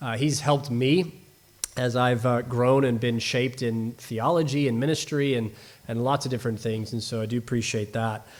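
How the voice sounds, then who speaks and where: A man with a slight American accent at a moderate pace, in a very clean recording with a silent background. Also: medium pitch for a man, fairly even intonation. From US Northwest (Seattle area), raised partly abroad. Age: 30s. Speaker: guest preacher. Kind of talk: sermon. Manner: halting, many fillers.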